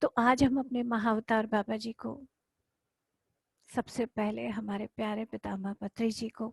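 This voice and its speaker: Soft-spoken and monotone with flat intonation, a woman talks at a fairly high pitch in a dry, close sound with no echo. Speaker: spiritual teacher. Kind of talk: guided meditation. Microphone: too quiet.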